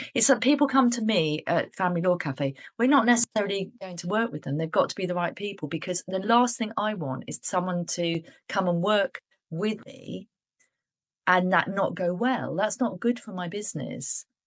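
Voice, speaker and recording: Speaking with a British accent, a woman uses lively intonation at a medium pitch and a moderate pace. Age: 60s. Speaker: business owner, coaching client. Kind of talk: interview.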